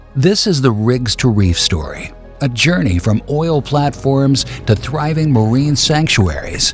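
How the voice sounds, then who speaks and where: Music plays in the background while a man speaks at a fairly slow pace. His pitch is medium and his intonation lively. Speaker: voice actor. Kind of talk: documentary narration. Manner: cinematic, measured.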